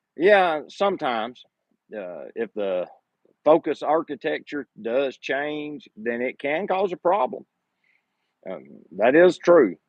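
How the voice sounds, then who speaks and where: A man with a Southern US accent speaks at a very slow pace with long, frequent pauses, his fairly high pitch swinging very widely and his loudness rising and falling in big swings, in a dry, close sound with no echo. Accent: southern drawl. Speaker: photography YouTuber. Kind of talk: live stream Q&A. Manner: casual, conversational.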